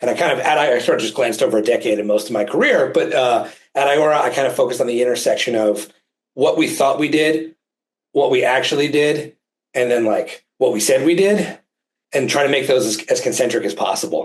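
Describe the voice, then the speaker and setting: A man speaks with a New Jersey accent. His pace is fairly quick. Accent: New Jersey American. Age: 40s. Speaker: physician and healthcare advisor. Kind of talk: interview presentation. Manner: fast.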